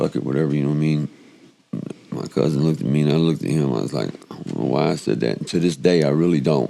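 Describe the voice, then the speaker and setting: A man with an American accent speaks very fast in a very deep, low voice with ordinary pitch variation. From Chicago. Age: 50s. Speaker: podcast interviewee sharing life story. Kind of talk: personal testimony interview. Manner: halting, repetitive stammering; casual, colloquial.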